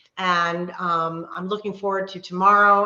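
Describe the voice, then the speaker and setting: A woman with a fairly low pitch talks over noticeable background noise. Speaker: wellness coach. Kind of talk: live online workshop. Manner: fast; animated.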